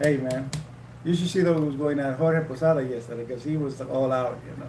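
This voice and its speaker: Over noticeable background noise and audible room echo, a man with a fairly high pitch talks at a fairly quick pace with fairly even intonation. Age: 60s. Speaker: livestream co-host, retired nurse. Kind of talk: casual chat. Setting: livestream. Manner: halting.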